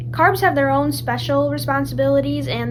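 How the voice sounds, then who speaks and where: In a flat monotone, a woman speaks amid noticeable background noise and audible room echo. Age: young. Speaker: lifestyle vlogger. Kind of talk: casual explainer.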